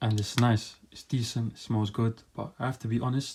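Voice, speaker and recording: A man's somewhat breathy voice at a medium pitch, flat and monotone in intonation. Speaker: fragrance reviewer. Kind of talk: product review monologue. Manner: fast.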